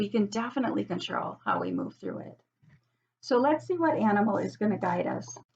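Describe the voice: A hoarse, put-on character voice from a woman at a medium pitch and a fairly quick pace.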